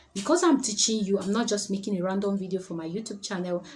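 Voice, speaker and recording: A woman talks at a very fast pace with ordinary pitch variation. Noticeable background noise runs behind her. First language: not English. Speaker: public speaking coach. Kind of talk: tutorial.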